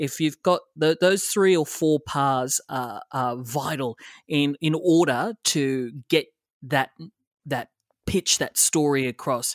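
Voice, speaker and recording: A man with an Australian accent speaks at a very slow pace, his pitch fairly high and his intonation lively. The recording is very clean with a silent background and a dry, close sound with no echo. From Australia, western Sydney. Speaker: TV reporter. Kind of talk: interview. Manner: halting, many fillers.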